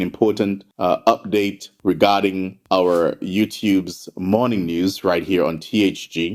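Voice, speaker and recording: A man speaks at a fairly slow pace. His intonation stays fairly even. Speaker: news host and commentator. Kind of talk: news commentary. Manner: passionate, earnest.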